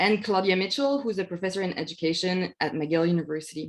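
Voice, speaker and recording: Here a woman speaks at a fairly quick pace in a medium pitch with ordinary pitch variation. The background is quiet. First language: not English. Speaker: academic researcher. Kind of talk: webinar presentation. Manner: halting, many fillers.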